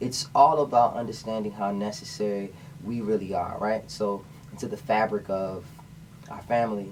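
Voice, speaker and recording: With an American accent, a man speaks at a moderate pace and fairly low pitch, with ordinary pitch variation and big swings in loudness over noticeable background noise. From Washington, D.C., US. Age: 20s. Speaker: singer-songwriter. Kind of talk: radio interview.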